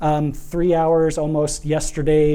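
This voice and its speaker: A man speaks at a fairly slow pace with a Midwestern accent and a fairly high pitch. His tone is dark and mellow, and the room echo is audible. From Nebraska, US Midwest. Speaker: architect and urban planner. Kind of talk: public lecture.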